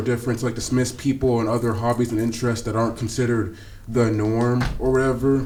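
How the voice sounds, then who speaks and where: A man at medium pitch and very fast pace, fairly even intonation, audible room echo. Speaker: podcast co-host. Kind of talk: casual chat. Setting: small room, not soundproof. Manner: fast, filler-heavy.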